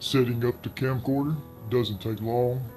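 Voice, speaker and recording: Someone with a Southern US accent speaks at a fairly slow pace with fairly even intonation while music plays in the background. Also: man. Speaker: horror story narrator. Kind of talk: horror story narration.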